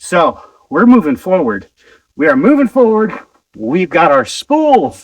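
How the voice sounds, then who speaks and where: At a fairly slow pace with long, frequent pauses, a man with a high pitch speaks in very wide pitch swings. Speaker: homesteader. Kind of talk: vlog. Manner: casual.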